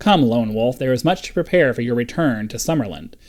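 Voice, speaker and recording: A man puts on a gruff character voice at medium pitch, talking at a fairly quick pace with lively intonation. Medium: solo performance. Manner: curt, commanding.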